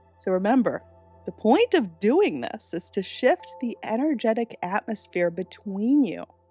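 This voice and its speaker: A woman speaks at a moderate pace with lively intonation, her sound dry and close with no echo, while music plays in the background. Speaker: manifestation coach and meditation guide. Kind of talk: guided meditation and instructional talk to camera.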